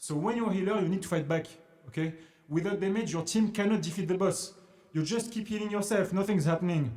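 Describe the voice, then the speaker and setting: Over noticeable background noise, a man with a French accent talks at a very fast pace and a high pitch. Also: ordinary pitch variation. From France, Paris. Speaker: investing educator, former trader. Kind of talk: casual tutorial. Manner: halting, repetitive.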